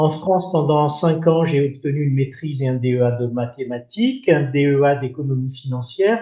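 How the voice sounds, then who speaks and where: This man has a dark, mellow tone. He talks at a moderate pace with ordinary pitch variation. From Madagascar. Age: 60s. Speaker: retired development finance executive. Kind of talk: podcast interview.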